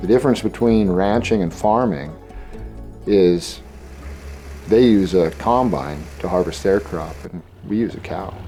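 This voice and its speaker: With music in the background, a man with an American accent and a very deep, low pitch speaks at a fairly slow pace, using lively intonation and long, frequent pauses. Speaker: rancher. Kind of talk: interview. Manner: halting, with repeated words.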